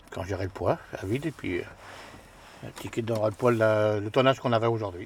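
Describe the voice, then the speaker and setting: At a fairly quick pace, a man speaks at medium pitch in a somewhat breathy voice with ordinary pitch variation. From rural western France. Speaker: garbage truck driver. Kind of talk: casual chat.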